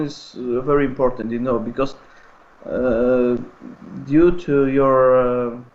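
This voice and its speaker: The speaker has a Polish accent. The pace is very slow. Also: man. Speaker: speedway photographer. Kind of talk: interview. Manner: halting.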